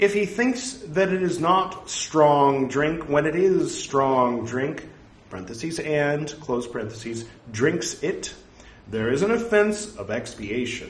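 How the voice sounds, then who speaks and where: A man at fairly high pitch with very wide pitch swings, a very slow pace, audible room echo and noticeable background noise. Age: 40s. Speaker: podcaster reciting Buddhist scripture. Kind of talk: reading aloud. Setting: home recording, no studio.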